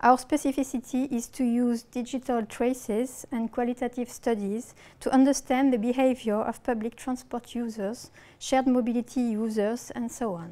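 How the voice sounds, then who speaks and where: A woman with a strong French accent speaks at a high pitch and a moderate pace. Her tone is dark and mellow, and her intonation is fairly even. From France. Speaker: researcher. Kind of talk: lecture. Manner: reading from script.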